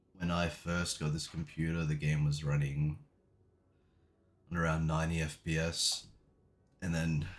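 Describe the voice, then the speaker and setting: Quiet and very deep, this man's low-pitched voice moves at a moderate pace. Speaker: gaming YouTuber. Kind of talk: tutorial. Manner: casual, hesitant fillers.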